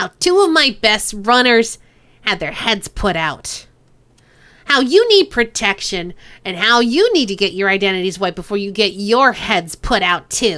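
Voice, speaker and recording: Using a put-on character voice, a woman speaks with a menacing tone and a nasal quality. Her pitch is medium and her pace moderate. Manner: mean, menacing.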